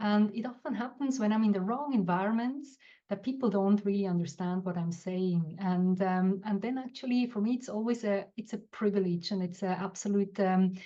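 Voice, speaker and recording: The voice has a dark, mellow tone and is somewhat breathy, with ordinary pitch variation. It moves at a moderate pace with hardly any pauses. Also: woman, medium pitch for a woman. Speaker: guest, business coach. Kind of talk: reflective talk on live show. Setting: live online show. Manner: halting, with fillers.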